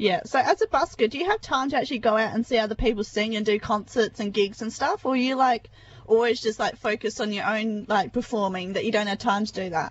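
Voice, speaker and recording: Speaking with an Australian accent, the voice is somewhat breathy with ordinary pitch variation. The pace is very fast, with hardly any pauses. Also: woman, fairly high pitch for a woman. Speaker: radio host. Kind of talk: casual radio interview. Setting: radio studio, phone interview.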